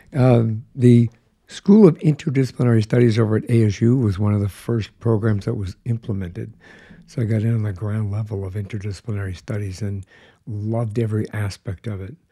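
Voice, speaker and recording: A man's dark, mellow, somewhat breathy voice with an American accent, fairly low pitch and fairly even intonation, in a very clean recording with a silent background. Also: fairly quick pace. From Colorado. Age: 60s. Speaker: podcast host. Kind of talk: casual chat.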